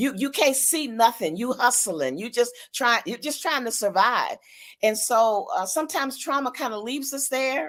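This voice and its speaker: Her high-pitched voice carries lively intonation as this woman speaks on a very clean recording with a silent background. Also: moderate pace. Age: 70s. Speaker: pastor. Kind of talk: interview.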